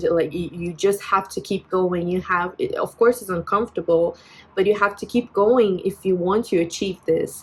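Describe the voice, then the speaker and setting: The speaker talks with a Brazilian accent and fairly even intonation. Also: woman. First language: Portuguese. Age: 20s. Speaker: vlogger. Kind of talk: personal vent vlog. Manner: halting, many fillers and restarts.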